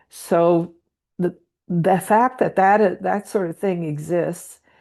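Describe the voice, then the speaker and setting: Over a quiet background, a woman with a fairly low, dark, mellow voice talks at a very slow pace with ordinary pitch variation. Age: 70s. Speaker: meditation group participant. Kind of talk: group sharing. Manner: halting.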